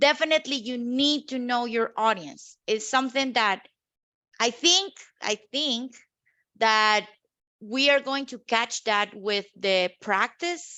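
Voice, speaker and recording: Delivered at a very slow pace, the speech has lively intonation. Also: woman, high pitch for a woman. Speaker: workshop participant. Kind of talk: online workshop discussion. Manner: loud; animated.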